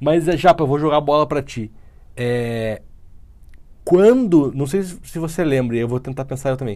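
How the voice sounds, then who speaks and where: Speaking at a moderate pace with long, frequent pauses, a man uses a fairly high pitch, ordinary pitch variation and a dark, mellow tone. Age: 30s. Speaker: podcast co-host. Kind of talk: casual chat.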